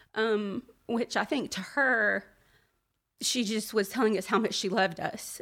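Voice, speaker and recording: In a very clean recording with a silent background, a woman with an American accent talks at a fairly slow pace, her fairly high pitch showing ordinary variation. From US South, Birmingham, Alabama. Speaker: speaker sharing personal faith testimony. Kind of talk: testimony. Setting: live gathering with audience.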